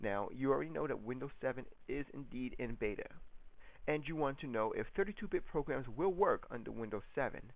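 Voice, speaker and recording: A man talks at a fairly quick pace with ordinary pitch variation. His voice is fairly high. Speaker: YouTuber answering a viewer's tech questions. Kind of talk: casual video reply / tutorial. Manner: hesitant, many ums.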